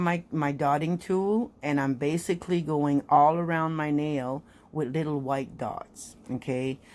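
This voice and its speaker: On a very clean recording with a silent background, a woman speaks in a French Canadian accent. Her pitch is very deep and low, with ordinary variation, at a fairly slow pace. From French Canada (Quebec). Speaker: nail art hobbyist YouTuber. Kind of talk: tutorial. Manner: casual, halting with fillers.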